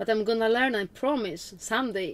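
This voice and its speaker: A woman with a Russian accent speaks with lively intonation. Her voice sounds dry and close, with no echo. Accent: almost-Russian. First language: Polish. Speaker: witch, spiritual vlogger. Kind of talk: casual talk to camera.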